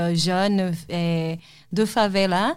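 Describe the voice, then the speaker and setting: A woman talks with a Portuguese accent and fairly even intonation. The recording is very clean, with a silent background. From Brazil, Salvador de Bahia. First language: Portuguese (speaking French). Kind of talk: testimony. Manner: halting.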